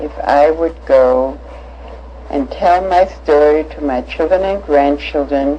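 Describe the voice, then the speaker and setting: A woman speaks. Her pace is very slow. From Germany (Hanover, Nuremberg). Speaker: Holocaust-era survivor recounting life. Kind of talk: personal life story testimony. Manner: halting, many fillers.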